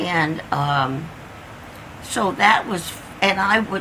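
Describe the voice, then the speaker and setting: A woman with a Midwestern American accent talks at a very slow pace with lively intonation, amid noticeable background noise and audible room echo. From Indiana. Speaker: oral history interviewee. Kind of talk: oral history interview. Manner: halting.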